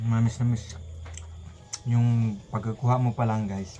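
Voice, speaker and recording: Fairly slow, fairly even speech with noticeable background noise and audible room echo. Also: man. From Philippines, mountain area. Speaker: mukbang vlogger. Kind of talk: mukbang eating vlog. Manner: casual, repetitive.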